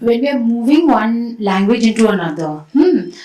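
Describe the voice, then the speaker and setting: A woman's fairly high voice swings very widely in pitch as she talks at a moderate pace, with noticeable background noise behind her. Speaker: poet and translator, session moderator. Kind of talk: panel discussion.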